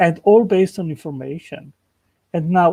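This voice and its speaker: With a non-native accent, a man speaks at a moderate pace in a high pitch and a dark, mellow tone, the sound dry and close with no echo. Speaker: creationist channel host. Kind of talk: casual chat. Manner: halting.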